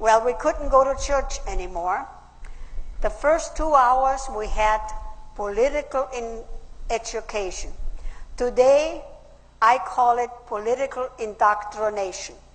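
With an Austrian accent, a woman speaks high-pitched at a fairly slow pace, using lively intonation and long, frequent pauses. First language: German. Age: 80s+. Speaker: WW2 survivor. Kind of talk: conference speech. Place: hall. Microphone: podium.

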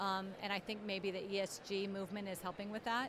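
Amid noticeable background noise, a woman speaks at a moderate pace in a flat monotone, with a dry sound that has no echo. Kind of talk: interview answer. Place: hall. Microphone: handheld.

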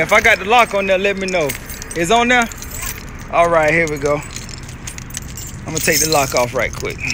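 Over noticeable background noise, a man speaks at a fairly quick pace in a raised, projected voice. His pitch varies in an ordinary way. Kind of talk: casual vlog chat. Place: street. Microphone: phone near.

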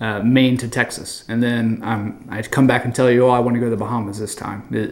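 A man talks fast at a medium pitch with fairly even intonation. Audible room echo surrounds his voice.

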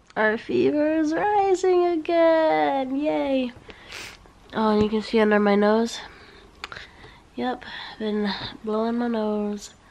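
A woman speaks at a very slow pace, with long, frequent pauses and very wide pitch swings. There is light background noise. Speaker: vlogger. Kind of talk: casual vlog chat. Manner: weak, congested sick voice. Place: home room. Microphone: phone near.

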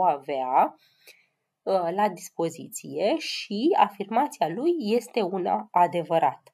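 Her voice sits at a medium pitch with big pitch swings, and this woman has a dark, mellow tone with a slightly husky edge.

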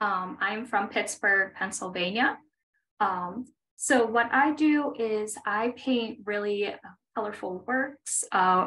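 Speaking fairly slowly, a woman lets her pitch vary in an ordinary way. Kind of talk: interview answer. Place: home room. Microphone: earbuds.

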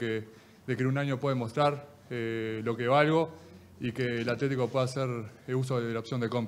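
Through light background noise, a man speaks in a monotone, flat voice at a moderate pace, with long, frequent pauses. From Uruguay. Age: 20s. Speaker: football player. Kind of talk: press conference. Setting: press room. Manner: halting. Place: meeting room. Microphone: podium.

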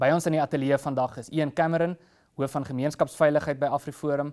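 Over a quiet background, a man talks at a fairly high pitch. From South Africa. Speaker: podcast host. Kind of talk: interview. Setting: studio. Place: studio. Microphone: lapel.

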